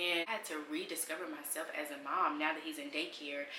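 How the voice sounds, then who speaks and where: A woman's very deep, low voice carries audible room echo. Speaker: mom vlogger. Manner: fast.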